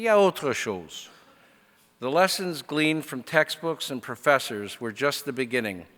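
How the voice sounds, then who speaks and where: On a very clean recording with a silent background, a man in a fairly high voice talks at a moderate pace, with very wide pitch swings and big swings in loudness. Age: 60s. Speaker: convocation speaker. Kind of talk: commencement speech. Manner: formal.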